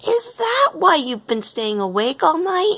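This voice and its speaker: Using a put-on character voice, a woman squeaks at an extremely high pitch with very wide pitch swings. She goes at a fairly slow pace. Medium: read story. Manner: reasonable, assured.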